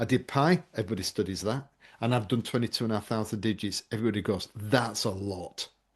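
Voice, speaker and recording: The background stays quiet. In an English accent, a man is talking. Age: 50s. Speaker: memory trainer and presentation coach. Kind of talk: podcast interview.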